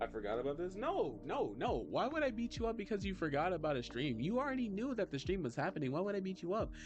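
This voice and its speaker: A man's high voice, very fast with hardly any pauses, very even in loudness yet swinging very widely in pitch, over background music. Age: 20s. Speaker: vtuber artist streamer. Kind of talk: casual livestream chat while drawing. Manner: soft-spoken; animated. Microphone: poor mic, plans new one.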